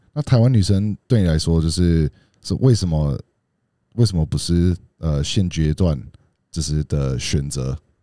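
A man with a very deep, low pitch talks at a fairly slow pace with long, frequent pauses, his tone dark and mellow and his intonation lively. The sound is dry with no echo over a quiet background. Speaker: podcast co-host. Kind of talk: casual chat. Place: studio. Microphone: studio mic.

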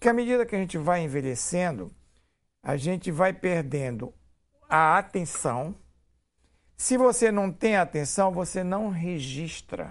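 The man's high-pitched voice carries lively intonation at a fairly slow pace, broken by long, frequent pauses. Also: quiet background. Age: 70s. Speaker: physician and university director. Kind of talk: TV interview. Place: studio. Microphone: lapel.

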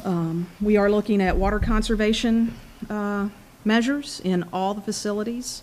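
Speaking at a moderate pace, a woman with an unremarkable speaking voice keeps her medium pitch fairly even in intonation. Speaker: energy company technical presenter. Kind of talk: technical presentation. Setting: public board meeting at podium. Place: meeting room. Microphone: podium.

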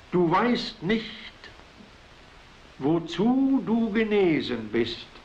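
A man talks at a very slow pace in a high voice. His intonation is lively. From Silesia. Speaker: writer. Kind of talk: poetry reading. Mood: solemn, earnest. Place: home room. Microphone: old recording.

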